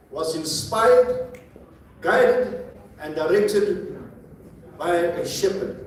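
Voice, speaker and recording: A man is heard through noticeable background noise and audible room echo. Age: 70s. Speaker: author. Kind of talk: book presentation to audience.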